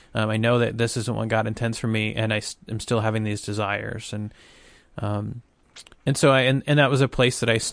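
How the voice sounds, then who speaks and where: Speaking at a moderate pace, a man with a medium pitch keeps a monotone, flat intonation. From US South, small-town Arkansas. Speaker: ministry director. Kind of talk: testimony.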